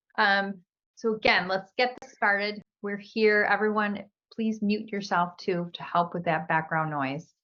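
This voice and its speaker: Here a woman talks at a medium pitch and a fairly slow pace. Her pitch variation is ordinary. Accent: Chicago. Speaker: career coach. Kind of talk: live webinar presentation. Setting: video call.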